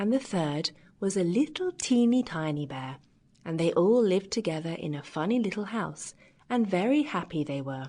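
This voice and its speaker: A woman's warm, fairly low voice at a fairly slow pace, with very wide pitch swings over a quiet background. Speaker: audiobook narrator. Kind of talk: children's fairy tale audiobook narration. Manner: warm, lively.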